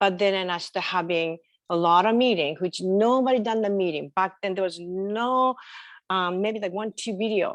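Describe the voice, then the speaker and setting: With a strong Japanese accent, a woman speaks at a moderate pace and medium pitch with ordinary pitch variation. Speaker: entrepreneur. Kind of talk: interview. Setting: video call.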